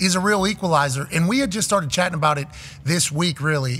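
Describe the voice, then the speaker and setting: Talking at a very fast pace, a man speaks with ordinary pitch variation. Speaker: show host. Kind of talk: sports talk commentary. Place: studio. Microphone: studio mic.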